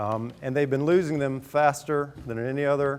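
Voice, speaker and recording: This man talks at a fairly quick pace. His pitch is medium, with ordinary variation. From eastern North Carolina. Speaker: environmental journalist and author. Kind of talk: public talk. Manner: loud.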